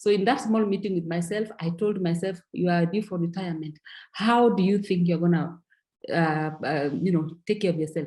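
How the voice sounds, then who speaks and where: Her voice sits at a fairly low pitch with a dark, mellow tone. The woman keeps a moderate pace and ordinary pitch variation. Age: 60s. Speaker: network marketing distributor. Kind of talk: testimony. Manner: halting, with repeated words.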